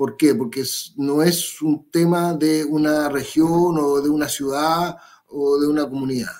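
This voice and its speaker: A man talks at a fairly slow pace in a fairly high pitch, his intonation monotone and flat. The background is quiet. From Chile. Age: 50s. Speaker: political candidate; candidate. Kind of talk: interview. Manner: halting. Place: home room.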